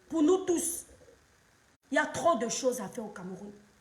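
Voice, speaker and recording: Here a woman speaks in a high-pitched voice. Her pace is fairly slow. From Cameroon. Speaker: social media commentator, live streamer. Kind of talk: live stream monologue, political commentary. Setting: live stream at home, children present. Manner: impassioned.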